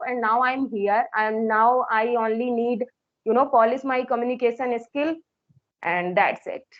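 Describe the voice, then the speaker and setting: A woman speaks in a high voice with an Indian accent. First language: Hindi. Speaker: English teacher and learner. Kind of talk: English practice conversation.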